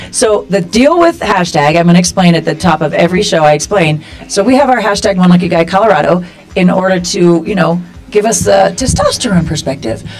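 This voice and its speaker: Faint music plays behind a woman with a fairly low pitch. She speaks at a fairly quick pace with ordinary pitch variation. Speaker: talk show host. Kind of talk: casual talk show hosting chat. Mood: playful, laughing. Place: studio.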